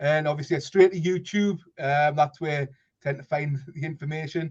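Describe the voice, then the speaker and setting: A man's somewhat breathy voice, fairly high in pitch, at a moderate pace with fairly even intonation. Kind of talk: casual chat. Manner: halting.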